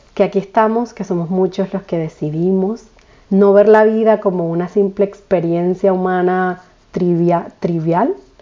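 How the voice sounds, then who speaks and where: An unremarkable speaking voice, this woman's is fairly low in pitch and fairly slow, with fairly even intonation. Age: 30s. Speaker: podcast host, spiritual coach. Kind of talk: casual monologue.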